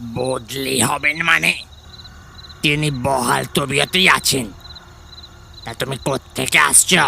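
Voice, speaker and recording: Speaking very slowly, a man puts on a character voice at a medium pitch. Clear background noise is audible behind him. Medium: audio drama. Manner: warm, familiar, affectionate.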